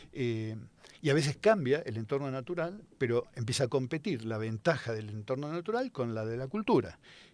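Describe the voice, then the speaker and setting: On a very clean recording with a silent background, a man at medium pitch talks with lively intonation at a moderate pace. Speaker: scientist. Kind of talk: casual chat. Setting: studio. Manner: hesitant, many fillers.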